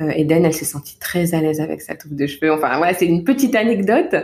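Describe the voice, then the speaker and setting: On a very clean recording with a silent background, a woman with a dark, mellow tone talks at a fairly quick pace. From Paris region, France (Val-de-Marne). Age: 30s. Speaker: parenting coach. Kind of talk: interview. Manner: soft-spoken.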